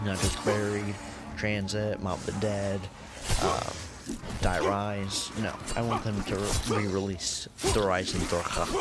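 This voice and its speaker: Over loud background noise, the speech moves at a fairly slow pace with long, frequent pauses. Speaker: gaming YouTuber. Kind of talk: casual channel update voice-over.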